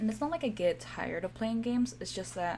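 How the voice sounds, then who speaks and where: This is a woman's voice. She speaks with a Spanish accent. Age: 20s. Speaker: gaming streamer. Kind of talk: casual gameplay commentary. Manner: halting, stumbles over words.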